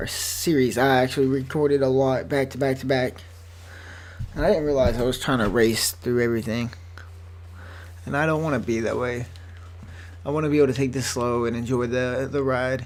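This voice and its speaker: A man's voice with ordinary pitch variation, long, frequent pauses and audible room echo. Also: medium pitch for a man, fairly quick pace. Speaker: gaming video creator. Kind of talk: let's play commentary. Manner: fast.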